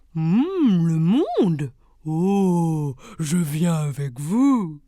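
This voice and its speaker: A put-on character voice at a middle pitch moves at a very slow pace. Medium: read story. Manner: slow, humming.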